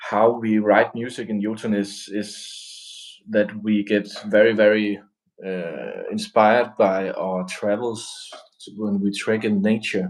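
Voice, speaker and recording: With a Danish accent, a man talks very slowly. His fairly low voice stays monotone and flat. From Denmark. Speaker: metal band musician. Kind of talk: casual live-stream interview.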